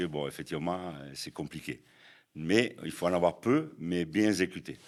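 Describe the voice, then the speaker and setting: A man speaks in a southern French accent with a very deep, low pitch. His pace is moderate and his intonation fairly even, on a very clean recording with a silent background. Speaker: American football head coach. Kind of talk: podcast interview answer.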